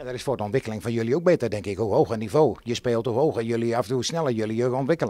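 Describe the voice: At a very fast pace, a man speaks at medium pitch with ordinary pitch variation and a dark, mellow tone.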